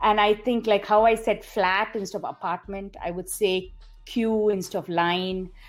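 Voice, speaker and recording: Music plays in the background as a woman talks at a moderate pace. Her pitch is medium and varies in an ordinary way. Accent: Indian. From India, Bangalore. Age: 40s. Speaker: podcast guest. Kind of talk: casual interview chat. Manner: animated.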